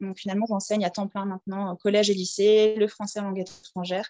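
The intonation is monotone and flat. The sound is dry and close with no echo. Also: woman. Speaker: teacher living abroad. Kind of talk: interview. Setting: at home. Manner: hesitant, many fillers.

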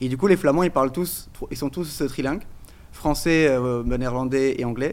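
Medium-pitched male speech at a moderate speed, the pitch varying in an ordinary way. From Portugal. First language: Portuguese (speaking French). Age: 30s. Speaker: crypto entrepreneur, IT engineer. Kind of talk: casual chat.

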